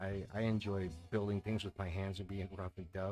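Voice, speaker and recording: Quiet and relaxed in tone, a man talks at a moderate pace in a very deep, low pitch with monotone, flat intonation. The recording is very clean, with a silent background. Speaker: amateur astrophotographer. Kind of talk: live stream chat. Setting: home at night, music playing. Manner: quiet, talking low.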